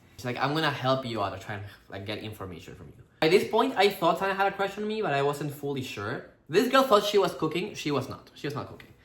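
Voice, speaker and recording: Talking very fast in a room with audible echo, a man with a fairly high pitch makes very wide pitch swings and big swings in loudness. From Peru. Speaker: actor and couple vlogger. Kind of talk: casual storytelling chat.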